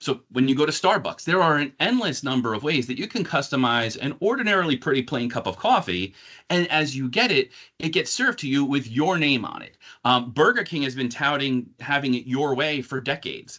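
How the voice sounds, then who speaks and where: Fairly quick speech in a New York accent over a quiet background. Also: man, fairly high pitch for a man. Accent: New York metro (northern New Jersey). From northern New Jersey, near New York City. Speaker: corporate marketing director. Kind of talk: corporate presentation. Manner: fast.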